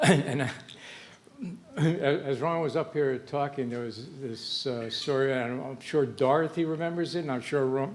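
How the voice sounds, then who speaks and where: Amid noticeable background noise and audible room echo, the speaker talks at a fairly slow pace with ordinary pitch variation. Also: man, fairly high pitch for a man. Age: 70s. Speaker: retired professor honored at birthday dinner. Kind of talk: after-dinner speech. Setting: banquet room with audience. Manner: halting, many fillers.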